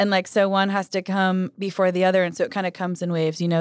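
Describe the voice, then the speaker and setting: A woman with an American accent speaks in an ordinary speaking voice at medium pitch, recorded very cleanly and dry, close with no echo and a silent background. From Idaho, US. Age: 20s. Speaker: singer-songwriter. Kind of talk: casual chat.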